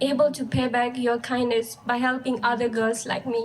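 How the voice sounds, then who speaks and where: In a Ladakhi accent, the speaker talks at a moderate pace with flat, monotone intonation. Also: woman. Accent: Ladakhi Indian English. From Ladakh, India. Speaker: high school graduate. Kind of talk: graduation speech.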